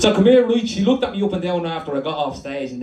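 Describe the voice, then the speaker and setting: A high-pitched man talks at a fairly quick pace with very wide pitch swings, over audible room echo and noticeable background noise. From Dublin, Ireland. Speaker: performance poet. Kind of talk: poetry performance. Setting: stage with audience. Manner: animated.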